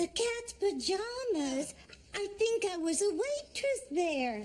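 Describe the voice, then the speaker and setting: A woman does a put-on character voice that is squeaky and extremely high-pitched, with very wide pitch swings. She talks at a fairly slow pace over light background noise. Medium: short film. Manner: wandering, uncertain.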